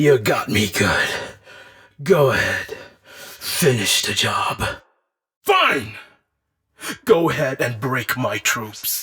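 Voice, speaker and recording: Putting on a raspy character voice at medium pitch, a man talks at a very slow pace with long, frequent pauses. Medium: dub. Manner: barking, commanding.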